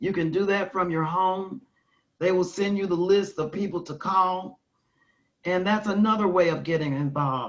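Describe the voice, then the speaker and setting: In a normal speaking voice, a woman with an American accent talks at a moderate pace, her medium pitch showing ordinary variation. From US South. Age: 60s. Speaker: keynote speaker, nonprofit leader. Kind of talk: conference talk and Q&A.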